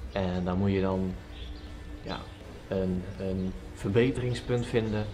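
A man's very deep, low voice at a fairly slow pace over clear music in the background. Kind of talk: casual vlog chat. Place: farm machine. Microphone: camera far.

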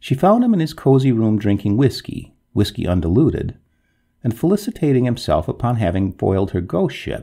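The reading aloud is plain, and the background stays quiet.

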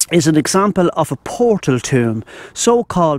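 A man is heard in a dry recording with no echo. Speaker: walking vlogger. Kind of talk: casual vlog chat, reading a sign aloud. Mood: amazed, interested. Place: open country. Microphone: lapel.

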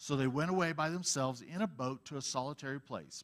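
Lively intonation marks this man's fairly quick speech. The background is quiet. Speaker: Bible teacher. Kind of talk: sermon. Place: church. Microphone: headset.

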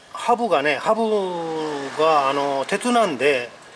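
With light background noise behind him, a man speaks at a high pitch for a man, his pitch swinging very widely. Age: 50s. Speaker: YouTuber. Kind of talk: vlog tutorial. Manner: halting with many fillers. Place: street. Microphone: phone near.

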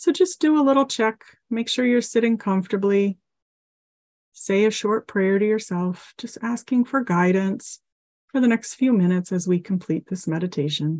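Against a quiet background, a woman with a fairly high pitch talks at a moderate pace, somewhat breathy, with lively intonation. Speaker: mental health counselor and teacher. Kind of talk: guided meditation. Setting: online class, video call. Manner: gentle, instructive.

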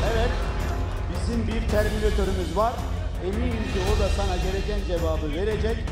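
A man talks at a moderate pace over loud music in the background. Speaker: fight event promoter or host announcing the next match. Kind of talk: announcement to the crowd. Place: hall. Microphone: handheld.

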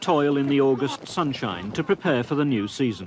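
A man with a British accent speaks at a moderate pace against noticeable background noise. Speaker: documentary narrator and interviewer. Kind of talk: documentary narration.

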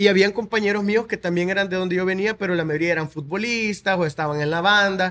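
Very fast, fairly evenly intoned speech from a man, high-pitched, with a bright, sharp tone. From El Salvador, Soyapango; El Salvador. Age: 20s. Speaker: content creator. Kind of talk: interview. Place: studio. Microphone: studio mic.

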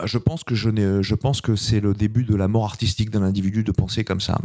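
Against a quiet background, a man speaks at a very fast pace. His fairly low pitch has a dark, mellow tone and fairly even intonation. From France. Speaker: filmmaker. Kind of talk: interview. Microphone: handheld.

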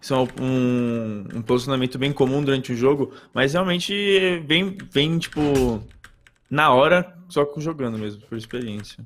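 A man speaks at a fairly slow pace with a fairly high pitch. His pitch varies in an ordinary way. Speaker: gaming co-host. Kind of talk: livestream tutorial. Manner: halting.

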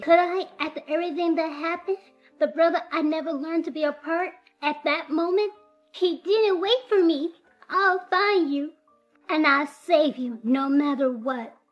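A woman talks at a moderate pace in an extremely high pitch, with ordinary pitch variation. Faint music plays in the background. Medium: fan dub. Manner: emotional, resolute.

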